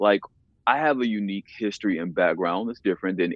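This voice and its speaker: Moving at a fairly quick pace, a man with an American accent and a fairly low pitch has a plain, everyday voice. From US South. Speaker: fashion brand founder and photographer. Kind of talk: casual interview.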